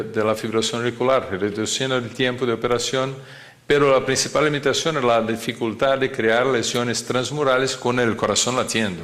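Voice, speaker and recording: The speaker has a non-native accent and a moderate pace. Intonation stays fairly even, and audible room echo is present. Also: man. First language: not Spanish (speaking Spanish). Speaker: cardiac surgeon lecturer. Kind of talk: lecture. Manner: halting, many fillers and repetitions.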